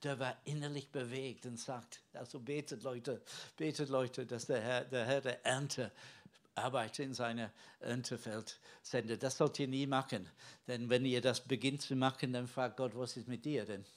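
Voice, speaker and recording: A man of medium pitch at a moderate pace, on a very clean recording with a silent background. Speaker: preacher. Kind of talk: sermon. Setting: church. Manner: conversational and earnest, halting with filler words; teaching tone, explaining the Bible and addressing the congregation.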